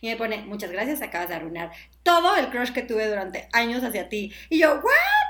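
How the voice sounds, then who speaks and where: A woman speaks in a fairly high voice, her pitch swinging very widely. Noticeable background noise runs behind her. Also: fairly quick pace, big swings in loudness. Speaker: digital sales manager and former TV presenter. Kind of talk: casual chat.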